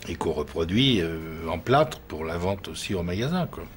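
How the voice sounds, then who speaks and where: A man talks with a very deep, low pitch. His voice is somewhat breathy. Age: 70s. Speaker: artisan plaster mould maker, workshop owner. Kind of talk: interview. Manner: halting, with repetitions and fillers.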